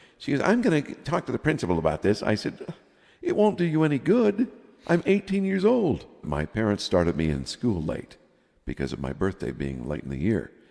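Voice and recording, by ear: Vocal fry from a man with a fairly low pitch, a slightly mellow tone, very wide pitch swings and a moderate pace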